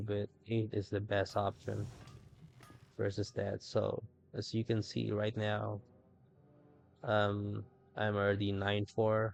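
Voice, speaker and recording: Very slow, monotone, flat speech from a fairly low-pitched man, with long, frequent pauses and music in the background. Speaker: gaming commentator. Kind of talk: game commentary. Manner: casual, hesitant.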